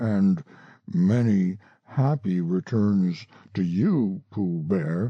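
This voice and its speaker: Using a put-on character voice, a man talks at a very slow pace and a fairly low pitch. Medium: read story. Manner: glum, slow and sarcastic.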